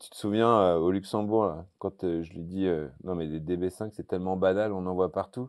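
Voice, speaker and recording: With ordinary pitch variation and a moderate pace, a man speaks in a very deep, low voice against a quiet background. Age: 50s. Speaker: TV car show presenter; car show host. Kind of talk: casual interview. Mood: relaxed, storytelling. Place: hall. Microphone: lapel.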